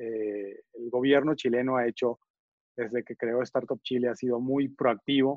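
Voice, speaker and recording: A man with a plain, everyday voice, medium pitch, fairly slow pace and fairly even intonation. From Venezuela. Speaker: venture capital investor. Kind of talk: interview.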